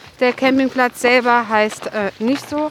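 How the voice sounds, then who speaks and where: Noticeable background noise sits behind the speech. A woman with a high voice talks at a fairly slow pace. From Germany, Westerwald. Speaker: hiking podcast co-host. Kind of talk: casual chat while hiking. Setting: outdoors on a snowy hike.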